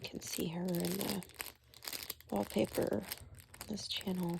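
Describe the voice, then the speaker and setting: Over noticeable background noise, a soft-spoken woman talks at a fairly slow pace. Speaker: ASMR creator. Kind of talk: ASMR soft-spoken talk.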